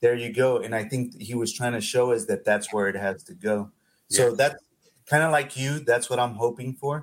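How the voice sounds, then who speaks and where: The pace of speech is moderate. It is a normal speaking voice, and its pitch varies in an ordinary way. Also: man, medium pitch for a man. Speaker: podcast co-host. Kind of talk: casual interview.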